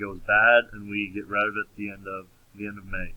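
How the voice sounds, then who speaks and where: A man speaks at a moderate pace in a fairly low pitch, with monotone, flat intonation. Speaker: accounting teacher. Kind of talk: recorded lecture. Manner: halting, with many fillers.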